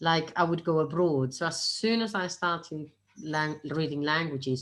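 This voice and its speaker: A woman talks with a very deep, low pitch and ordinary pitch variation. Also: moderate pace. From Spain, Castellón (Valencian region). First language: Spanish and Catalan. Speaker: property investor. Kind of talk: interview.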